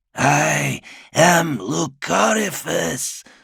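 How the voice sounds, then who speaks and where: A man puts on a raspy, hissing character voice at a medium pitch, with very wide pitch swings. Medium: read story. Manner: hissing, leering.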